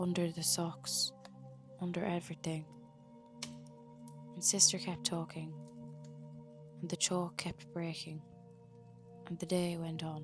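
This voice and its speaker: Soft-spoken and soothing in tone, a woman with an Irish accent talks with long, frequent pauses over music in the background. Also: fairly slow pace. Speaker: sleep story narrator. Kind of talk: sleep story. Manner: soft-spoken, slow, soothing.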